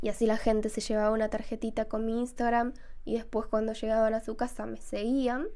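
A dark, mellow voice with an Argentine accent comes through with audible room echo. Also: woman. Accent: Rioplatense Argentine Spanish. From Argentina, Rosario. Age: 20s. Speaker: podcast host and illustrator. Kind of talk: casual solo podcast monologue.

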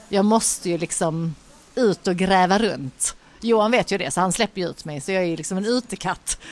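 Over noticeable background noise, a woman talks at a moderate pace and a medium pitch with ordinary pitch variation. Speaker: podcast co-host. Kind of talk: casual chat. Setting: bar on a busy street.

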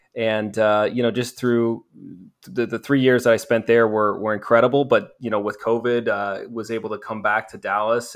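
Over a quiet background, a man with an American accent speaks at a fairly low pitch in monotone, flat intonation. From US upper Midwest. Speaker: minor league hockey team staffer. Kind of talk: casual interview.

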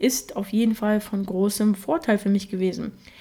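A woman's fairly high, dark and mellow voice with fairly even intonation. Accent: Russian. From Germany, Russian-speaking family. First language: Russian (speaking German). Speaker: podcast host. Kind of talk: solo podcast monologue.

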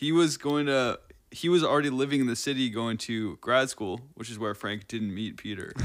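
A man with an unremarkable speaking voice talks at a medium pitch and moderate pace, with ordinary pitch variation. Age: 20s. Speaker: drummer and tutor. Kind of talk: casual chat.

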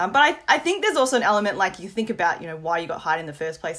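A woman with an Australian accent and lively intonation. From Australia, moved from Hong Kong at 5. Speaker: product marketing professional. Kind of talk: casual chat.

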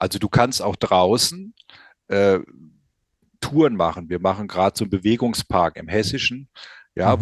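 A man speaks at moderate speed, the background quiet. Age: 60s. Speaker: company founder presenting a product. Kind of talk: podcast interview.

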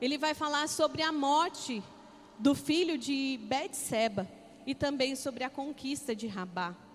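A woman's high-pitched voice, animated in tone with lively intonation, at a fairly slow pace over music in the background. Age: 40s. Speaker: pastor. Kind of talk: sermon.

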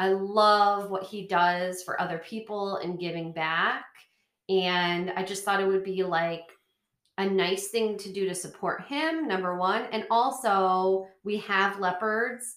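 An ordinary speaking voice from a woman, medium in pitch, fairly slow, with fairly even intonation. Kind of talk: casual chat.

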